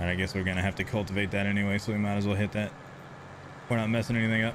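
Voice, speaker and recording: A man is speaking. He has a Texan accent. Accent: Texan accent, noticeable on stream. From Texas. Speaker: gaming live streamer. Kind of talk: live gameplay stream chat. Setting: home streaming setup with camera. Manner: casual, repetitive.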